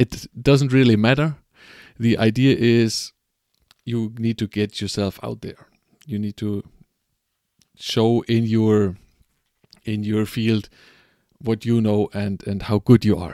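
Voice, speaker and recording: A man speaks at a medium pitch in a dark, mellow tone with a non-native accent. His very slow delivery has fairly even intonation and long, frequent pauses. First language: not English. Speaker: podcast host. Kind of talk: live stream monologue. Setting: live stream at home at night. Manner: halting, many fillers and repetitions.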